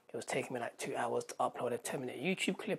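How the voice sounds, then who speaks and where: A woman talks with a British accent. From UK. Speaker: vlogger and pop culture YouTuber. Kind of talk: casual vlog to camera. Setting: home, bedroom. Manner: rambling, many fillers. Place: home room. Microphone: phone near.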